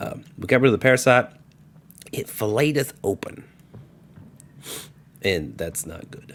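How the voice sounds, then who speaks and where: With vocal fry at a medium pitch, a man talks with very wide pitch swings, big swings in loudness and long, frequent pauses. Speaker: gaming video creator. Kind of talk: let's play commentary. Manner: fast.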